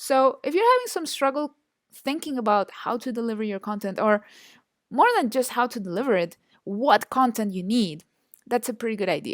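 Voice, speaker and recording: Speaking with a Spanish accent, a woman has a fairly high pitch and lively intonation. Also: moderate pace. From Chile. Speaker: online marketing instructor. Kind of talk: online course lecture. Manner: hesitant, many fillers and repetitions.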